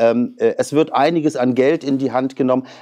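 Over a quiet background, a man talks with a dark, mellow tone and fairly even intonation. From northern Germany, Western Pomerania (near Pasewalk); Western Pomerania, Germany. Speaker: politician, member of parliament and lawyer; politician guest. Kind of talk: interview; interview answer. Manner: hesitant, many filler sounds. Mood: relaxed, chatty about hobbies. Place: studio. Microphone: lapel.

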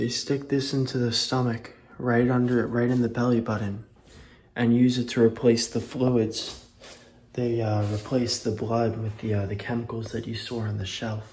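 The man's intonation is flat and monotone. He keeps a moderate pace, with light noise behind him. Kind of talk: casual exploration commentary. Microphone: phone near.

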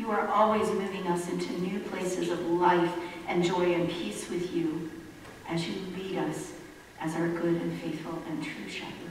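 The voice has fairly even intonation and a moderate pace, with strong room echo and light background noise. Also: woman, fairly low pitch for a woman. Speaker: pastor. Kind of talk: sermon. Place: church.

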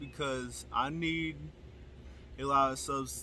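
Talking at a very slow pace, a man is heard in a dry space with no echo and light background noise. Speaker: youtuber. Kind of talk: casual vlog chat. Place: garden. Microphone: phone near.

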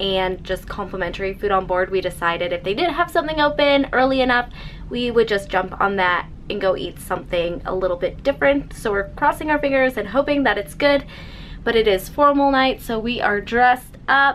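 Light background noise sits behind a woman talking at a fairly quick pace with lively intonation. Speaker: travel vlogger. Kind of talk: casual vlog chat. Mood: cheerful, chatty. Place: home room. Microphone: phone near.

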